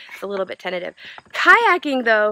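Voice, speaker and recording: A woman speaks in a bright, sharp tone. The sound is dry with no echo. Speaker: RV travel vlogger. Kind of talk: casual vlog chat. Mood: cheerful and excited. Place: open country. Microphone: phone near.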